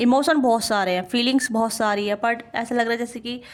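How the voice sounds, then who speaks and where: At a moderate pace, a woman talks in a high pitch. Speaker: tarot reader. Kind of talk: tarot reading.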